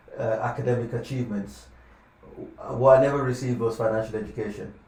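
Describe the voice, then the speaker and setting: A man's very fast, monotone, flat speech with big swings in loudness, noticeable background noise and audible room echo. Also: medium pitch for a man. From Lagos, Nigeria, then UK from age 15. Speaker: financial advisor. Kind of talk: podcast interview.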